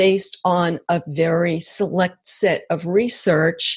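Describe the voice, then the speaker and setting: A woman with an American accent speaks at a very slow pace in a fairly low, somewhat breathy voice. Her intonation is monotone and flat, and her loudness stays very even. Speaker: author and brain researcher. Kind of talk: interview.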